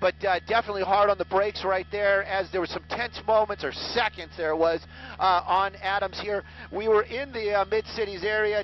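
A man with a high pitch speaks at a moderate pace with fairly even intonation. The sound is dry with no echo, over light background noise. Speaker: helicopter chase reporter. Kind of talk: live commentary. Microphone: headset.

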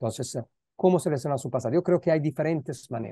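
Against a quiet background, a man speaks in a dark, mellow tone with an Italian accent. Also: dry sound with no echo. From Italy, Milan. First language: Italian (speaking Spanish). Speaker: philosopher, guest lecturer; guest lecturer. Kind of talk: academic Q&A discussion mixing Spanish and Italian. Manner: halting, with many repeated words. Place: home room. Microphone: earbuds.

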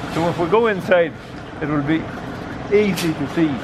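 Noticeable background noise accompanies a man who speaks fairly slowly. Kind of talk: interview answer. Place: street. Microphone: phone near.

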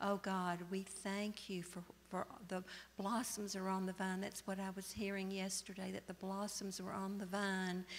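Light background noise runs under speech delivered at a moderate pace. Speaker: church member leading prayer. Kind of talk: prayer. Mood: soft, earnest, reverent. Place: church.

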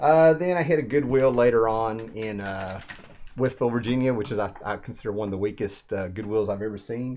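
A man speaks at a fairly quick pace. His pitch is fairly low, with ordinary pitch variation.

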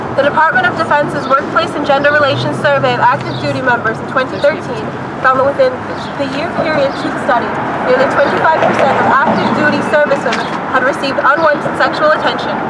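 A woman speaks at a fairly quick pace with loud background noise behind her. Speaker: rally speaker reading a letter. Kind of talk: rally speech reading a formal advocacy letter aloud. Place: street. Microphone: camera far.

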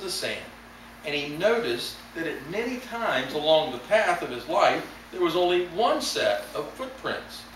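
Room echo is audible and light background noise sits behind. A man talks at a moderate pace. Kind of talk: sermon. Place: church. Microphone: camera far.

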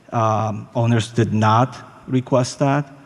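This man has a non-native accent. His pitch is medium and his intonation fairly even. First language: not English. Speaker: resident at public comment. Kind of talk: public comment at council meeting. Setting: city council chamber. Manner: halting.

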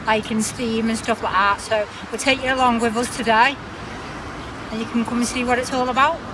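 A flat, monotone delivery at a fairly quick pace over noticeable background noise. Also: woman. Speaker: travel vlogger. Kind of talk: casual vlog chat. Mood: cheerful, laughing. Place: beach. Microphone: phone near.

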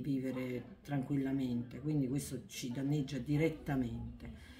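Her voice is somewhat breathy with a dark, mellow tone and ordinary pitch variation. The woman speaks at a fairly slow pace over light background noise. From southern Italy, Naples area. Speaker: book author. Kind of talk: interview. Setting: bookshop event. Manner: halting, with many repetitions. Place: shop. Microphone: phone near.

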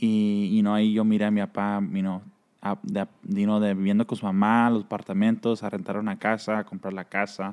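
A man talks at a fairly quick pace in a fairly low pitch. His intonation is monotone and flat over a quiet background. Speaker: cap brand founder. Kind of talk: casual interview. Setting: in a shop. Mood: relaxed, reminiscing about childhood. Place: studio. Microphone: studio mic.

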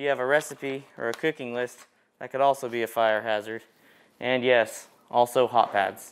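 Fairly even intonation from a man speaking at a moderate pace. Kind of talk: safety demonstration tutorial. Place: kitchen.

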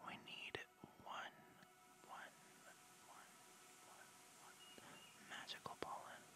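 Whispering at a very slow pace. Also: man. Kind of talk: ASMR gameplay commentary. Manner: whispered, soft.

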